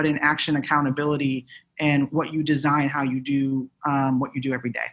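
A woman speaks in an American accent. Her pace is moderate. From Chicago, US Midwest. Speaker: civil rights lawyer. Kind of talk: panel discussion. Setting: video call.

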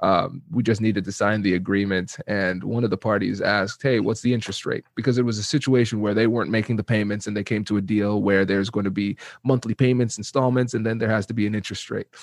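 Against a quiet background, a man with a slight Caribbean accent talks at a very fast pace, his fairly low pitch held in fairly even intonation. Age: 30s. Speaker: negotiation expert. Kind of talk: interview.

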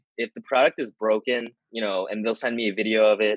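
In an American accent, a man with an unremarkable speaking voice talks at a moderate pace and fairly low pitch. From US Northeast, suburbs of Philadelphia. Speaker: online business owner. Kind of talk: interview. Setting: video call.

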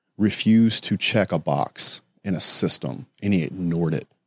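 This man has a Southern US accent. The sound is dry and close with no echo. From US South. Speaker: construction entrepreneur. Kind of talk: casual chat.

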